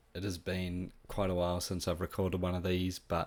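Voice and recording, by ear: The speaker is a man with a low-pitched voice.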